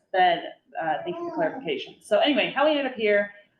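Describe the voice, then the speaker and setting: Very wide pitch swings mark this woman speaking with a Nebraska accent. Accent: Midwestern American (Nebraska). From rural Nebraska. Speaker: brewery owner and attorney. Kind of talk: casual talk to a small group. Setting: library community meeting. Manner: many fillers, halting.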